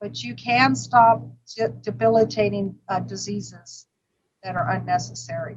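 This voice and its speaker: A woman with an American accent speaks at a moderate pace, with big swings in loudness. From US West Coast, Los Angeles. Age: 60s. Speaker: vegan restaurant owner. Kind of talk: interview. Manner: halting, with many fillers.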